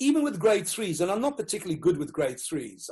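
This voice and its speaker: With a Rhodesian accent, a man speaks in very wide pitch swings. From Rhodesia (Zimbabwe). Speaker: education consultant, former teacher. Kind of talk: interview.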